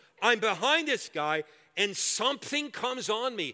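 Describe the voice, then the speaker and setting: A man uses a raised, projected voice with a bright, sharp tone and very wide pitch swings. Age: 60s. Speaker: guest preacher. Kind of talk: sermon. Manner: animated.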